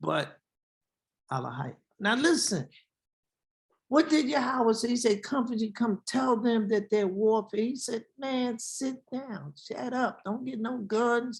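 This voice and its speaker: A very slow pace from a woman, fairly high in pitch, her pitch varying in an ordinary way. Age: 70s. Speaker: Hebrew Israelite teacher. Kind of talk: sermon. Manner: animated.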